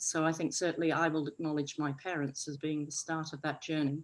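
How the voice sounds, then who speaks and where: A woman with a northwest English accent is heard in a very clean recording with a silent background. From northwest England. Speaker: arts festival director. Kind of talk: panel discussion.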